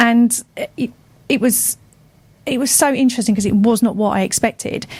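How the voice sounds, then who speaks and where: At a fairly quick pace, the speech comes out somewhat breathy, and the intonation stays fairly even. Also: woman. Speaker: radio show co-host. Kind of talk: casual radio conversation. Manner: halting, with repeated words.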